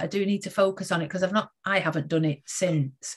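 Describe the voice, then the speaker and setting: A woman of medium pitch talks at a moderate pace, her voice somewhat breathy. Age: 40s. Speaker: education and leadership coach, podcast host. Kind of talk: interview.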